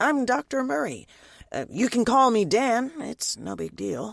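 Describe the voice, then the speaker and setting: Using a put-on character voice, a man talks at a moderate pace, his tone raspy and his pitch extremely high. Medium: read story. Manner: casual, slightly awkward.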